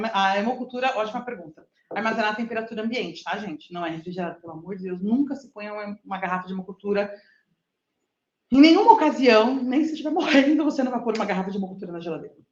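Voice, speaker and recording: A woman's fairly high voice, very fast, with lively intonation. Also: big swings in loudness. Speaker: lecturer. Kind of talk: lecture. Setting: live stream with in-person audience.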